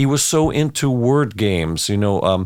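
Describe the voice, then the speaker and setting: On a very clean recording with a silent background, a man with an unremarkable speaking voice talks at a moderate pace and a medium pitch. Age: 60s. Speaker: orchestra conductor. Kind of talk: casual interview chat.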